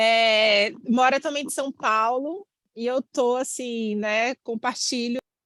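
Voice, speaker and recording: Recorded dry and close with no echo, a woman speaks at a very slow pace in a high pitch with ordinary pitch variation. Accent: Bahian. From Bahia, Brazil. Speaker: course participant. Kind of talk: self-introduction in online class.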